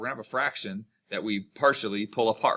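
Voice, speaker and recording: At a fairly quick pace, a man speaks in a medium-pitched voice with a bright, sharp tone. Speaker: math teacher. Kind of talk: lecture. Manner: fast; casual with many fillers.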